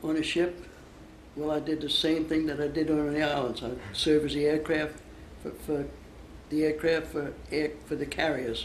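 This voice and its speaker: A fairly high-voiced man speaks at a moderate pace in a flat monotone, with long, frequent pauses. Room echo is audible. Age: 80s+. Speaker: war veteran. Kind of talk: interview. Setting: interview for a school project. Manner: halting.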